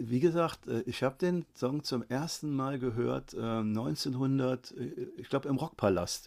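A man speaks at a very slow pace. His voice sits at a medium pitch with ordinary pitch variation. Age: 50s. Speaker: photographer and vlogger. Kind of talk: casual interview.

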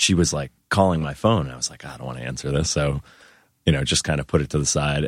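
A man speaks in a very deep, low voice with an American accent and vocal fry. The sound is dry and close, with no echo. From US Northeast, Worcester, Massachusetts. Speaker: musician. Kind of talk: casual chat.

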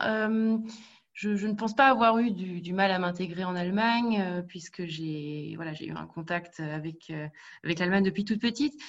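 This woman has an unremarkable speaking voice, with a medium pitch, ordinary pitch variation and a moderate pace against a quiet background. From Paris region, France. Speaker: HR specialist. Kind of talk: interview.

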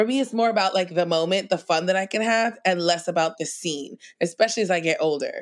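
A woman with an American accent talks at a very fast pace with hardly any pauses. Her pitch varies in an ordinary way, and the background is quiet. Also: medium pitch for a woman. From New York City, Queens. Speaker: comedian. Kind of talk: casual chat.

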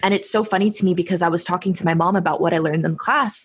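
A woman speaks in an American accent at a medium pitch. Her voice is somewhat breathy. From San Diego, US. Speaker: podcast host. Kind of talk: casual chat.

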